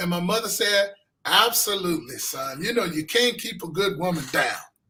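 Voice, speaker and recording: A man with an American accent, high-pitched, with a raised, projected voice and ordinary pitch variation, over music in the background. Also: moderate pace. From US West Coast, Los Angeles. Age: 60s. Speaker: filmmaker and pastor. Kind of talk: interview.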